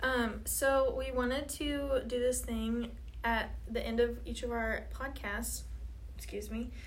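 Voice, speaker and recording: A woman's very slow speech with audible room echo. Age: 20s. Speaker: podcast co-host, student with chronic illness. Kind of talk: casual chat.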